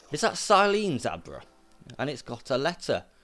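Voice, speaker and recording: A man with a British accent, vocal fry and a moderate pace. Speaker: gaming YouTuber. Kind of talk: let's play commentary, reading game dialogue aloud. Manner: stumbling over words while reading.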